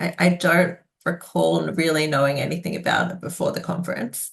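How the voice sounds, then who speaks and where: A woman speaks with vocal fry. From Indonesia. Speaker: political scientist. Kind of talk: oral history interview answer. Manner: hesitant, conversational.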